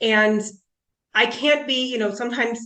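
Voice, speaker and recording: Speaking at a moderate pace with a US Midwestern accent, a woman uses ordinary pitch variation. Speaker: panelist, clinical nutritionist. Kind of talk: panel talk.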